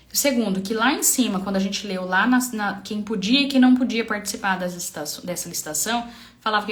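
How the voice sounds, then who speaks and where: A woman with a medium pitch speaks with lively intonation. Noticeable background noise and audible room echo surround her voice. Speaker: public procurement trainer. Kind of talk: live-stream tutorial. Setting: live stream. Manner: fast; halting with fillers.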